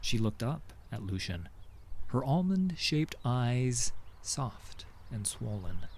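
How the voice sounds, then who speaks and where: The man's medium-pitched voice is somewhat breathy and moves through very wide pitch swings. He talks at a very slow pace. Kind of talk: audio drama narration.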